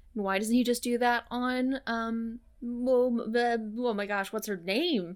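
A woman with an American accent speaks in an unremarkable speaking voice at a fairly high pitch and a fairly slow pace, her intonation fairly even. The recording is very clean, with a silent background. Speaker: podcast co-host. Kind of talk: casual chat.

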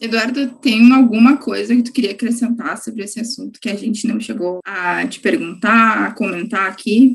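With an unremarkable speaking voice, a woman talks at a moderate pace with hardly any pauses, using a fairly high pitch, ordinary pitch variation and big swings in loudness. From Gravataí, Porto Alegre metro area, Brazil. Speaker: student journalist, podcast host. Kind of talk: interview.

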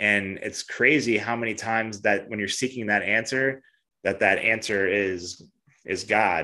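A man with a fairly low pitch and a bright, sharp tone speaks at a fairly slow pace. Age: 30s. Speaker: podcast host and fitness coach. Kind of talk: casual interview chat. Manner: animated.

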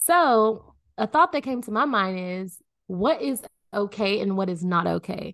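Over a quiet background, a woman speaks at a fairly slow pace with lively intonation. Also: medium pitch for a woman, dry, close sound with no echo. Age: 20s. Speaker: podcast co-host. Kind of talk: casual chat.

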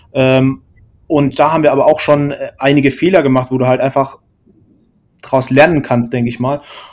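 A man's fairly high voice at a fairly quick pace, with monotone, flat intonation and long, frequent pauses. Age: 20s. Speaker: podcast co-host, software developer. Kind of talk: casual chat. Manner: halting, many fillers.

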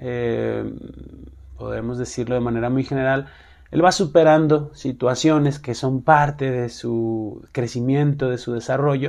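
Very slowly, a man speaks at a medium pitch. His intonation stays fairly even. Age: 30s. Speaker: podcast host, single father. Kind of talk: casual monologue. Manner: hesitant, many fillers.

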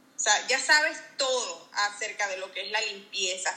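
A woman talks fairly slowly while noticeable background noise runs beneath her. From Venezuela. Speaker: insurance advisor, former house cleaner. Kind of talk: interview.

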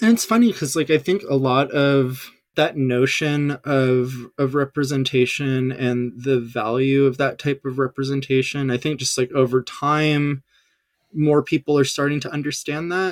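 With an American accent and an unremarkable speaking voice, a man talks at a moderate pace, fairly high in pitch and fairly even in intonation, the sound dry and close with no echo. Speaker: game industry marketing manager. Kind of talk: casual interview chat.

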